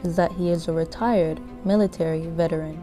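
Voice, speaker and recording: A woman talks while music plays in the background. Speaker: student filmmaker. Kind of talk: documentary voiceover.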